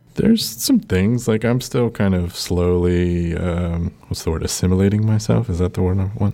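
Noticeable background noise sits behind a man with a very deep, low pitch. He talks at a moderate pace with ordinary pitch variation and hardly any pauses. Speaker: podcast co-host. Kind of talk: casual chat. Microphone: echoey, recording in an empty room.

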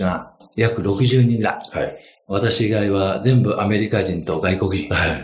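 In a room with audible echo, a man speaks at a fairly slow pace with a medium pitch and ordinary pitch variation. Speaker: finance consultant. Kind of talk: interview storytelling. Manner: many fillers, relaxed pace.

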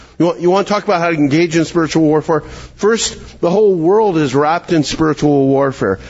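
Over noticeable background noise, a man with a Canadian accent talks at a moderate pace, fairly high in pitch, with ordinary pitch variation. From Canada, Calgary, Alberta. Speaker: pastor and teacher. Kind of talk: conference workshop talk.

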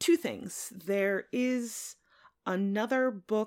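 Pitch swinging very widely, a woman at a medium pitch speaks with an American accent on a very clean recording with a silent background. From central Connecticut. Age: 40s. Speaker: podcast guest, English major. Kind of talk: casual book discussion.

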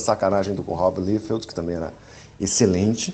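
A man with a plain, everyday voice talks at a moderate pace with fairly even intonation. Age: 40s. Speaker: listener sending audio message. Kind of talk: recorded voice message.

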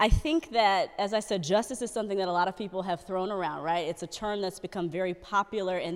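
A woman talks at a fairly quick pace with an American accent. Her pitch is medium with ordinary pitch variation, a plain, everyday voice. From Dallas, Texas. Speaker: news anchor. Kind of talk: casual chat.

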